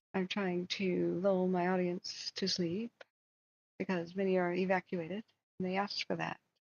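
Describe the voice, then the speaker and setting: Putting on a character voice, a woman speaks at a moderate pace in a raspy, medium-pitched voice with monotone, flat intonation. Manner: soothing, lulling.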